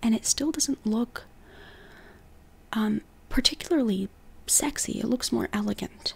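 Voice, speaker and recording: A quiet voice at a moderate pace. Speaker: style and body type consultant. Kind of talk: casual video tutorial. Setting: home recording at night. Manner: quiet, hushed at night; animated.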